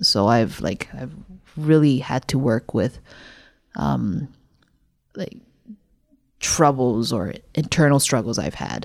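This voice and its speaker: A woman speaks very slowly in a very deep, low voice with vocal fry, leaving long, frequent pauses. Her pitch swings very widely. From Canada. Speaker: parkour practitioner. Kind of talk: casual conversation. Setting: recorded in person, evening.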